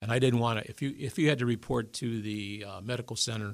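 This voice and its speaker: A man with an American accent speaks at a medium pitch with ordinary pitch variation, in a very clean recording with a silent background. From Detroit, Michigan (east side). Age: 70s. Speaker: army veteran. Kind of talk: interview storytelling.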